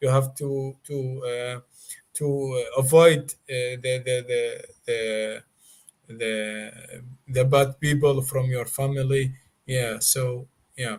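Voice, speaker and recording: A man with a non-native accent speaks in a flat monotone at a very slow pace. His voice is somewhat breathy, with long, frequent pauses. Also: medium pitch for a man. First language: not English. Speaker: Mandaean guest explaining his religion. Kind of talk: interview. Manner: relaxed; halting, many fillers.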